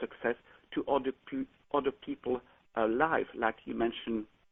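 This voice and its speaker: A man with a French accent. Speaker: caller. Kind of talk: call-in question.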